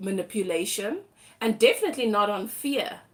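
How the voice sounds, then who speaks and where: This woman has a fairly high pitch and a South African accent. She speaks at a fairly slow pace. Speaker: tarot reader. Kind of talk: live tarot reading. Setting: livestream.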